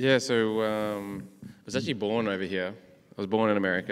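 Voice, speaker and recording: In an Australian accent, a man speaks at a fairly low pitch with fairly even intonation. The recording is very clean, with a silent background. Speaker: professional golfer. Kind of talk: testimony.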